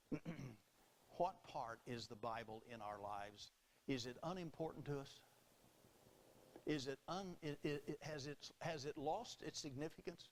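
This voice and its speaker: A man with a Southern US accent, fairly high pitch, lively intonation and a fairly slow pace. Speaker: Baptist preacher. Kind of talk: sermon delivered to a congregation.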